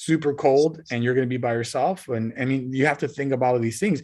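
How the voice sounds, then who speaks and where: A man talks fairly quickly and with fairly even intonation, the background quiet. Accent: Spanish. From Southern California (Montebello, Los Angeles area). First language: Spanish. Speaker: college professor and marine biologist. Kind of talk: guest talk to high school students, interview. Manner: casual, with many fillers and repetitions.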